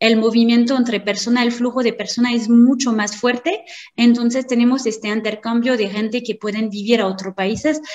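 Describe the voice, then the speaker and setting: A woman with a French accent, fairly high-pitched, at a moderate pace with fairly even intonation, over noticeable background noise. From France. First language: French (speaking Spanish). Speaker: marketing consultant. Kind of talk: lecture.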